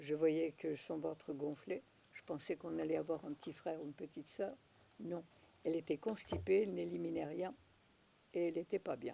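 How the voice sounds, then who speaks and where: A woman's very deep, low voice, dark and mellow with vocal fry, at a moderate pace with long, frequent pauses and ordinary pitch variation. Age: 90s. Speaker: naturopath. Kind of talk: interview. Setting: at her home.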